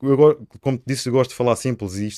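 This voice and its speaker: A man speaks at a very fast pace with ordinary pitch variation. The sound is dry and close with no echo, on a very clean recording with a silent background. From Sines, Alentejo coast, Portugal. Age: 30s. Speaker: local election candidate. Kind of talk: interview.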